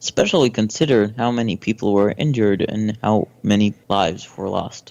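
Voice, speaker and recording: At a moderate pace, a man with a fairly low pitch talks in a plain, everyday voice with ordinary pitch variation. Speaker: podcast guest. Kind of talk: casual podcast conversation.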